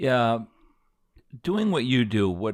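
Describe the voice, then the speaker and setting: A man speaks in an American accent at a moderate pace, on a very clean recording with a silent background. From Aspen, Colorado. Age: 60s. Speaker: podcast host. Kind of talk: casual chat.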